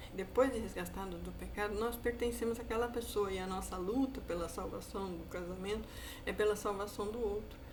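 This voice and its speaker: Audible room echo and noticeable background noise around a female speaker. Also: fairly quick pace. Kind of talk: sermon-style monologue. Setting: online video. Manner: fast.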